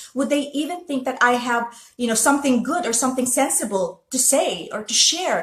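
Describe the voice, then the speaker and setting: Noticeable background noise sits behind a woman speaking. She has a high pitch and a Filipino accent. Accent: Filipino, lasting. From Philippines. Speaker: motivational vlogger. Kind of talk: casual monologue. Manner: hesitant, many fillers.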